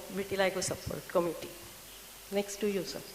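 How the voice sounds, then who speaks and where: A woman's medium-pitched, flat, monotone voice against noticeable background noise. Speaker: patient advocate and doctor. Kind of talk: conference presentation. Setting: symposium with audience.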